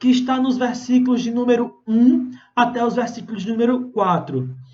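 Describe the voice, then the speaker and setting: With audible room echo, a man speaks at a moderate pace in an extremely high pitch. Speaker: pastor. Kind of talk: sermon. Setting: Instagram live stream. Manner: animated.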